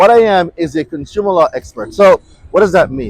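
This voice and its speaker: In a Jamaican accent, a man speaks with an animated tone at a high pitch and a moderate pace. His pitch variation is ordinary, and the sound is dry and close with no echo. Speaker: consumer law expert. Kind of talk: motivational talk. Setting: outdoors.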